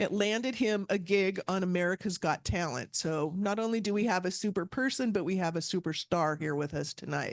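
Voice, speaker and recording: A woman with an ordinary speaking voice, medium pitch and ordinary pitch variation, at a fairly quick pace with hardly any pauses, over a quiet background. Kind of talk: speaker introduction.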